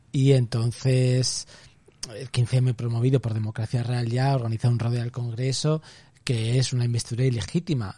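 Medium in pitch, this man's voice has a dark, mellow tone and is somewhat breathy. His intonation stays fairly even. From Spain, Zaragoza (Aragón). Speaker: artist and author. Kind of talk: casual interview.

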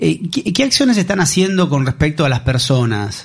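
A somewhat breathy man's voice at a fairly high pitch. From Argentina. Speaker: radio host. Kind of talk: radio interview. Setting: radio studio. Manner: hesitant, many fillers.

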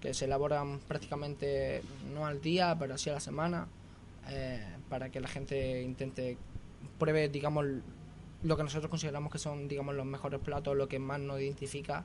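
Amid audible room echo, a man with an Andalusian accent speaks at a fairly high pitch with fairly even intonation and long, frequent pauses. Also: moderate pace. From Andalusia, Granada province (small village). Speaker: restaurant owner and chef. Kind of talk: radio interview.

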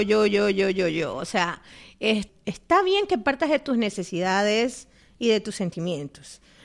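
A woman speaks at a fairly slow pace in a fairly high, animated voice with very wide pitch swings. The background is quiet. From Ecuador. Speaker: podcast co-host. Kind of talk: casual chat.

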